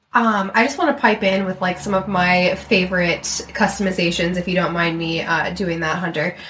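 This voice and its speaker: A woman talks at a moderate pace, her pitch medium with ordinary variation, while background noise is noticeable. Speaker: podcast assistant and former stylist. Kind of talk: casual chat with host.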